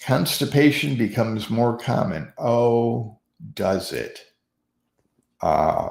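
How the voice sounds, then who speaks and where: A man talks at a very slow pace with vocal fry. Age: 60s. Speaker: senior-focused podcast host. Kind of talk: casual talk. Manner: halting, with false starts.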